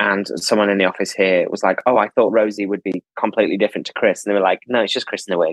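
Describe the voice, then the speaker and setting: The speaker has a Lancashire accent and a monotone, flat intonation. The delivery is very fast with hardly any pauses. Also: man, fairly low pitch for a man. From northern England, Preston, Lancashire. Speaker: theatre producer. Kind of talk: casual interview.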